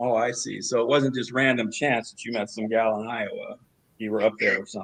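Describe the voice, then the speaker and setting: A man with an unremarkable speaking voice talks at a medium pitch and a fairly quick pace. His loudness swings widely. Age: 60s. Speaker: sales closer in a competition. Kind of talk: role-play sales call.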